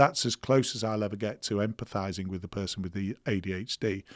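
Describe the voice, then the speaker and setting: Speaking at a moderate pace, a man with a British accent comes through a very clean recording with a silent background and a dry, close sound with no echo. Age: 60s. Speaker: ADHD clinic founder, former police officer. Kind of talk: podcast interview.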